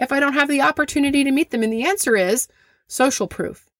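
A woman is heard on a very clean recording with a silent background. The sound is dry and close, with no echo. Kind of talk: casual chat podcast. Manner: animated, candid, profane.

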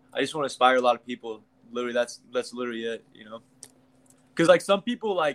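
A man with a Midwestern American accent talks very fast at medium pitch, with long, frequent pauses. His loudness swings widely, and the sound is dry and close with no echo. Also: ordinary pitch variation. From Kansas, US Midwest. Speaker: YouTube comedian, former college football player. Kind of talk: casual interview. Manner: casual, filler-heavy.

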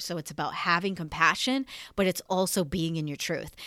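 A woman with a bright, sharp tone and a fairly low pitch speaks at a moderate pace, her tone animated with ordinary pitch variation. The recording is very clean, with a silent background. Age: 30s. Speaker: spiritual teacher and podcast host. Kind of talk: casual solo monologue.

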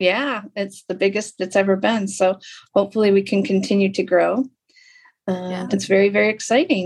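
An unremarkable speaking voice from a woman with an American accent, medium in pitch, at a moderate pace with fairly even intonation. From Lapeer, Michigan, US. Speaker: podcast host, arts center director. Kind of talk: interview.

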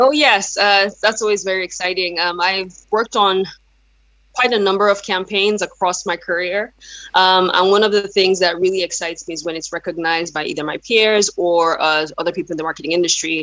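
A woman speaks at a medium pitch in a Yoruba accent, her pitch varying in an ordinary way. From Nigeria. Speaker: brand marketing consultant. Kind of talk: interview. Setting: video call.

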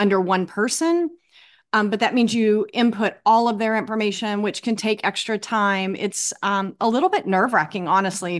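In a quiet background, a woman talks at a moderate pace with an ordinary speaking voice and ordinary pitch variation. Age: 50s. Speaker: runner. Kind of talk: casual chat.

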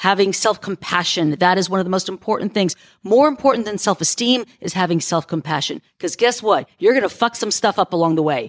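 A woman's normal speaking voice at a medium pitch, lively in intonation, with hardly any pauses, in a dry, close sound with no echo and a very clean recording over a silent background. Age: 50s. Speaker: life coach and podcaster. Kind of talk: interview advice talk.

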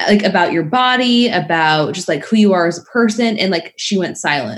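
At a moderate pace, a woman with a plain, everyday voice talks with lively intonation. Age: 30s. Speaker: fitness coach. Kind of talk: casual chat.

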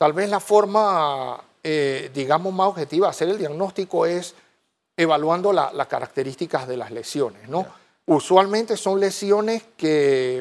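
Ordinary pitch variation at a fairly slow pace, in a very clean recording with a silent background. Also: man. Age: 40s. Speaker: infectious disease physician. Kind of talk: TV interview. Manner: halting, many repeated words.

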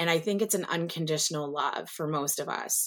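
The recording is very clean, with a silent background. A woman with an ordinary speaking voice talks at a moderate pace in a fairly low pitch. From US South. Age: 40s. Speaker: nurse and nursing professor. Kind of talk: interview.

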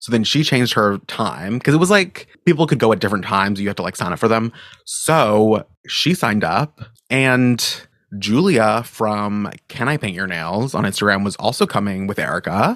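A man with an American accent and an ordinary speaking voice, fairly low in pitch, with lively intonation at a moderate pace, in a very clean recording with a silent background. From Maine, US. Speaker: podcast host and nail content creator. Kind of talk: solo casual chat. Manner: laughs often.

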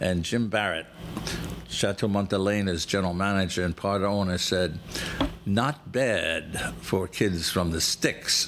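Noticeable background noise sits behind a man speaking at a fairly slow pace and a fairly low pitch. His pitch varies in an ordinary way, and his loudness stays very even. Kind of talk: scripted travel narration, read like an informative mini-lecture. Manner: measured, formal, slightly halting with filler 'uh' hesitations.

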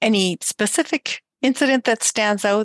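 Lively intonation and a plain, everyday voice, with a dry, close sound, no echo and a quiet background. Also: woman. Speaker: podcast host. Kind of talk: interview, conversational.

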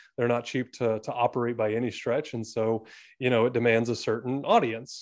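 A man with medium pitch talks at a moderate pace in an ordinary speaking voice, with a quiet background. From Atlanta, US South. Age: 30s. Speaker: real estate agent and investor. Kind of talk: interview.

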